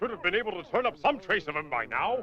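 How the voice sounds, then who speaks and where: A cartoonish character voice races along at a very fast pace, middle in pitch with very wide swings. Clear background noise is present. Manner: hearty, earnest.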